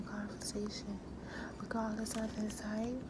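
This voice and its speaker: There is noticeable background noise. Over it, a voice whispers. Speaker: author reading own book. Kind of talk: ASMR whispered book reading. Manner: whispered.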